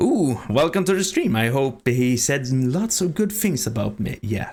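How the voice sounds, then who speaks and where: This man speaks with a Swedish accent, his pitch swinging very widely. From Sweden. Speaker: streamer. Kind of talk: casual chat. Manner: halting.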